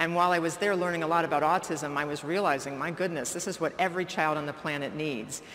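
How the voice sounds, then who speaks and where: A woman with a fairly low pitch talks at a very fast pace with hardly any pauses and fairly even intonation, and room echo is audible. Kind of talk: keynote lecture.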